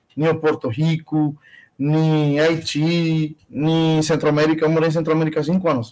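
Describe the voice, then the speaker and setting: A man's fairly high-pitched voice. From Cuba, Bayamo. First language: Spanish (speaking Portuguese). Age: 40s. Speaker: Cuban immigrant, industrial engineer. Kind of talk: interview, life story.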